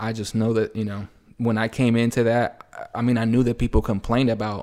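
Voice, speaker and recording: On a very clean recording with a silent background, a man with an American accent speaks at a moderate pace. His voice is fairly low, with monotone, flat intonation. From El Salvador, split with US. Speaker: painter and muralist. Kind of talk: casual interview. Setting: home kitchen table.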